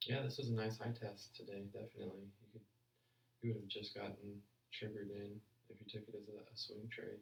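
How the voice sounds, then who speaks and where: Fairly low, somewhat breathy male voice at a fairly quick pace, the intonation fairly even. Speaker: forex trader streaming live analysis. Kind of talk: live trading stream commentary. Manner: casual, halting with repeated words; mumbling.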